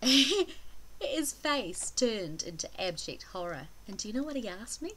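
A woman is speaking. She has a slight New Zealand accent. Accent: mild New Zealand. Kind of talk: casual vlog talk to camera.

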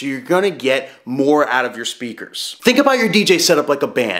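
Loud and fairly quick, a man speaks in a fairly bright tone with big pitch swings.

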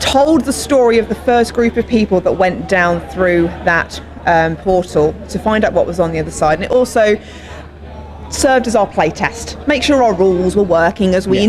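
Light background noise runs under the recording. A woman speaks at a moderate pace. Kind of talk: interview answer. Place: gym. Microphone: handheld.

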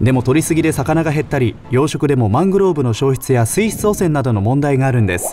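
Over music in the background, a man at a medium pitch talks at a fairly quick pace with lively intonation. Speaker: radio DJ narrator. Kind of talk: explainer video narration.

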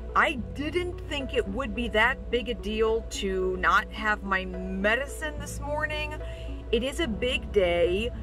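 A woman at a very slow pace, dry with no echo, over clear music in the background. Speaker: vlogger with stroke-like aphasia. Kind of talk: personal vlog talk to camera. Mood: earnest, a bit strained. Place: car. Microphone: phone near.

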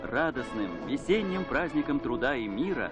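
Music plays in the background as a man speaks at a moderate pace. His fairly high voice moves in very wide pitch swings. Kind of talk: newsreel narration. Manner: solemn, formal.

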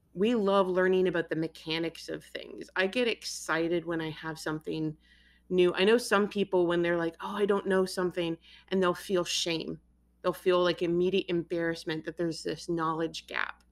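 A woman with an ordinary speaking voice talks at a moderate pace and a fairly low pitch, her intonation fairly even, on a very clean recording with a silent background. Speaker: author and interviewer. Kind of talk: interview.

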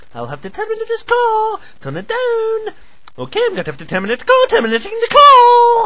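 Over light background noise, a woman talks at a fairly quick pace with big swings in loudness. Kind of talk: comic overacting. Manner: prim, increasingly irritated.

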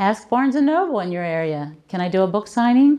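At a moderate pace, a woman speaks with very wide pitch swings. The background stays quiet. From Baltimore, Maryland. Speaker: author and book coach; book coach. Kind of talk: keynote speech. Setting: conference stage with audience. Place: hall. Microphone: handheld.

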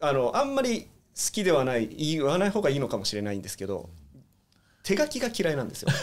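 Speaking very fast yet with long, frequent pauses, a man with fairly high pitch moves through very wide pitch swings. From Hong Kong. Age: 40s. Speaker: guest. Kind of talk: casual interview.

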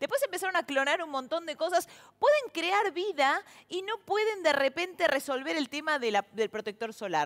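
An animated tone with very wide pitch swings, at a moderate pace, over a quiet background. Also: woman, extremely high pitch for a woman. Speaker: TV show host and comedian. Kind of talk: stand-up monologue intro, then show hosting. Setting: TV studio with audience. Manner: animated, chatty, humorous. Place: stage. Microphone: headset.

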